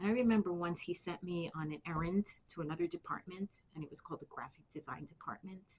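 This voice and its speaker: A somewhat breathy woman with a New York accent speaks at a moderate pace, her fairly low pitch held in fairly even intonation. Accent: New York City. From Bronx, New York City. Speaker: army veteran. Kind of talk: interview answer.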